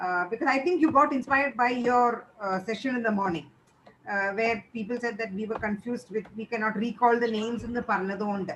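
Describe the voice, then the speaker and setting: A fairly quick woman with a Keralan accent, fairly high in pitch, with ordinary pitch variation and noticeable background noise. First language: Malayalam. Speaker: teacher trainer. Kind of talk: feedback session.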